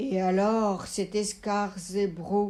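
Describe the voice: Using a put-on character voice, a woman booms at a very slow pace in a monotone, flat delivery at medium pitch.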